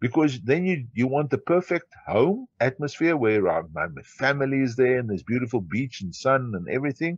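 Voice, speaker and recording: A man with a South African accent speaks at medium pitch and a moderate pace with lively intonation. The sound is dry and close with no echo, against a quiet background. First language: Afrikaans. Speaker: entrepreneur. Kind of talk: interview.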